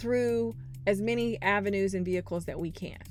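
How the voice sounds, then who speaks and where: Music plays in the background while a woman speaks. Her pitch is medium and her pace moderate. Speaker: podcast host and management consultant. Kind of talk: podcast monologue.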